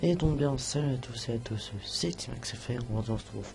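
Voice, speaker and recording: Background music beneath a male voice of ordinary pitch variation. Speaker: youtuber. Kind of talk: casual chat. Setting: live stream. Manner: soft-spoken; halting. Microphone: quiet, adjusted level.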